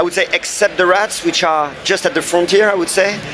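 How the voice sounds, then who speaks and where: A high-pitched man with fairly even intonation over noticeable background noise. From France. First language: French. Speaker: game developer. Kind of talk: interview. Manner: halting.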